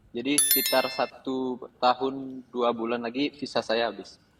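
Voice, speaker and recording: Fairly even intonation against noticeable background noise. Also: man. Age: 20s. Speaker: caller asking for financial advice. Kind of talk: call-in question on a live show. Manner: halting, with hesitations.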